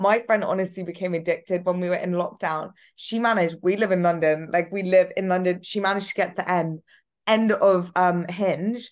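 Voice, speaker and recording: A woman's ordinary speaking voice, fairly quick and fairly even in intonation, against a quiet background. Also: medium pitch for a woman. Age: 20s. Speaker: podcast host. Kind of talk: casual chat. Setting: video call.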